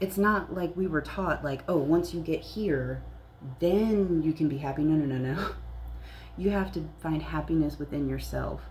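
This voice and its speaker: A woman talks at a fairly slow pace, her voice carrying audible room echo. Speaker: spiritual content creator, psychic reader. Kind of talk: casual spiritual talk to camera. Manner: whispering briefly; casual, filler-heavy.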